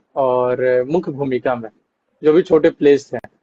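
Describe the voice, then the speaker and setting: A man with a Bihari accent speaks in a dark, mellow tone, the sound dry and close with no echo. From Bihar, Arrah. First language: Bhojpuri (speaking Hindi). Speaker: actor. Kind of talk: interview. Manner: hesitant fillers.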